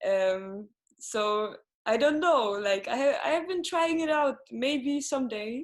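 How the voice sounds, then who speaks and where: A woman with a Swedish accent speaks very slowly in a high voice, her intonation lively. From Sweden, Gothenburg. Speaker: singer-songwriter. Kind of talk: interview. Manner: halting, many fillers.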